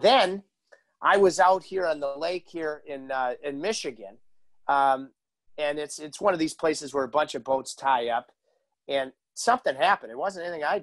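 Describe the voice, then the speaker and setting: A man's lively intonation and moderate pace stand out over a quiet background. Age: 40s. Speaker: hockey broadcaster and podcast host; podcast host. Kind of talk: casual interview chat. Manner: animated. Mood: jovial, storytelling. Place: home room.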